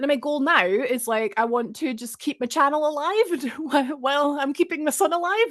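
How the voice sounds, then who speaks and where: A woman talks with a Scottish accent at a fairly quick pace. Her pitch is high and her intonation lively. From Scotland. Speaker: streamer. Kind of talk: casual chat.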